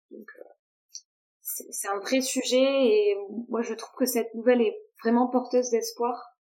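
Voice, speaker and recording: The woman's tone is dark and mellow. She speaks at a moderate pace with fairly even intonation. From Toulouse, southwest France. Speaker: food industry sales rep. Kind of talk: casual interview chat.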